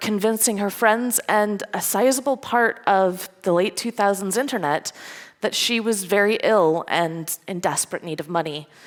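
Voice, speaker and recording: With a slight Scottish accent, a woman speaks at a moderate pace and medium pitch, with ordinary pitch variation. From Scotland. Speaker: security engineer, conference speaker. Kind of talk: conference talk. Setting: stage with audience.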